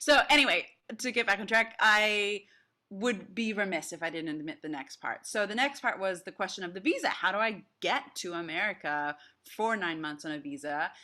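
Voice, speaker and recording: A woman at medium pitch speaks at a moderate pace with an energetic, bright, sharp tone and lively intonation. The recording is very clean, with a silent background. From Australia. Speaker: speech coach and actress. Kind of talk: interview answer. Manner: energetic, casual.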